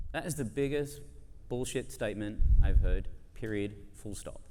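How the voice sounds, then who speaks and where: A man speaks with an Australian accent at a moderate pace. His pitch varies in an ordinary way, and audible room echo can be heard. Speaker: advertising industry speaker. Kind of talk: conference debate speech. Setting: stage with audience. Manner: animated.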